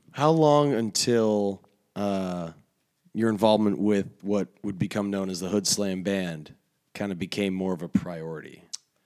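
Pitched fairly low, a man talks at a fairly slow pace with ordinary pitch variation. He has an unremarkable speaking voice. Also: very clean recording, silent background. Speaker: podcast host and wrestling commentator. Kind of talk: casual interview chat.

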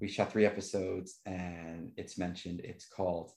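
Very clean recording, silent background, of a man with an American accent and a very deep, low pitch. He moves at a fairly quick pace with fairly even intonation. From New York. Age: 50s. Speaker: filmmaker. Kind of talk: casual chat.

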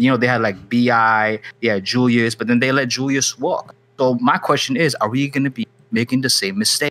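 Fairly quick male speech with a bright, sharp tone. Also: medium pitch for a man. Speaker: podcast co-host. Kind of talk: casual chat. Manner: animated.

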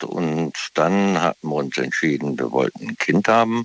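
A man with a very deep, low voice speaks at a fairly slow pace with lively intonation, recorded dry and close with no echo. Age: 60s. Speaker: caller. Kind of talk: casual chat. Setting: phone call.

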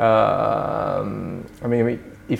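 A man is speaking. Background noise is noticeable. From Sweden, moved from Japan as a child. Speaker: trade policy think tank director. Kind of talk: interview conversation.

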